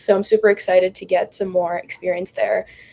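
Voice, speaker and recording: At a moderate pace, a woman with an American accent talks over noticeable background noise. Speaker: finance student, podcast co-host. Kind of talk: casual podcast introduction.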